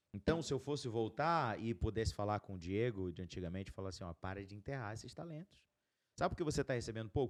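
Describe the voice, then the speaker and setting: The recording is very clean, and the background is silent. A man races along at a very fast pace, his pitch swinging very widely. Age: 30s. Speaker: podcast host, entrepreneur. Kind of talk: casual chat.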